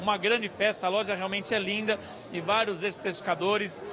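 Over crowd noise in the background, a man speaks in a raised, projected voice at a high pitch. He talks at a fairly quick pace with monotone, flat intonation. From Brazil. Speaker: field reporter. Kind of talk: live on-location report. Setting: store opening event, on location. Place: shop. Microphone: handheld.

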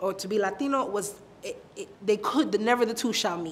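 A woman with a New York accent, fairly high pitch, ordinary pitch variation and a moderate pace. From Brooklyn, New York. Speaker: interviewee. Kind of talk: personal storytelling interview. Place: office.

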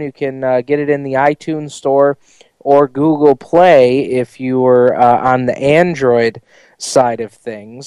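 An unremarkable speaking voice, a man with an American accent talks at a fairly slow pace with fairly even intonation, in a dry, close sound with no echo. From US Northeast, New York Southern Tier. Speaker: radio host. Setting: studio.

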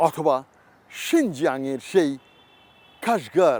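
A man's high-pitched voice with very wide pitch swings and a dry, close sound with no echo. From Bangladesh, Hatiya island and Chittagong. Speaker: travel vlogger. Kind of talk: interview. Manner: halting.

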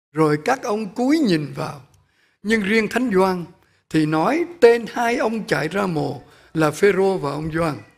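A man talks at a very slow pace, with a quiet background behind him. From Vietnam. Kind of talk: sermon. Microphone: podium.

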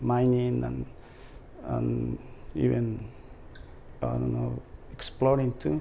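With a Mexican accent, a man speaks at a very slow pace. There are long, frequent pauses and light background noise. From Mexico. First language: Spanish. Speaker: treasure hunter, heavy equipment operator. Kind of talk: interview answer. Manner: hesitant, halting. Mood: calm, friendly. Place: home room. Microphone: lapel.

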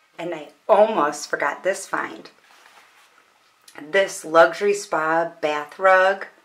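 Fairly even intonation in a woman's speech. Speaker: home vlogger. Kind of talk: casual vlog chat. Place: bathroom. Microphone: phone near.

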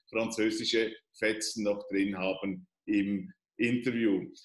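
There is audible room echo as a man speaks against a quiet background. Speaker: interviewer. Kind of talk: interview question. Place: home room. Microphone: video call.

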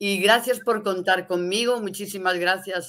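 Against a quiet background, a woman speaks at a fairly slow pace in a bright, sharp tone. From León, northwest Spain; Spain. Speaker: poet and literature scholar; poet. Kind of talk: interview. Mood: warm, grateful, passionate. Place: home room.

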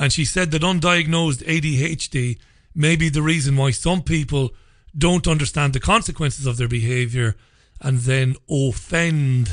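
Somewhat breathy and fairly high in pitch, a man speaks fairly slowly with ordinary pitch variation over a quiet background. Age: 40s. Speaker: radio host. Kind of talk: angry rant. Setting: studio. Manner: indignant, emphatic, sarcastic. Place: studio.

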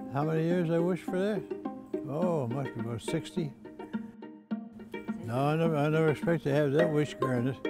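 A man's voice, dry with no echo, with clear music in the background. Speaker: father of ten. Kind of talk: interview answer. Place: garage.

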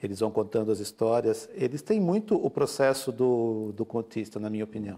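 A man's dark, mellow tone moves at a fairly quick pace. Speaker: author and photographer; guest. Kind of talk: interview. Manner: halting, hesitant. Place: studio.

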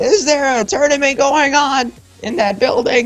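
A loud, high-pitched put-on character voice moves at a moderate pace as faint music plays in the background.

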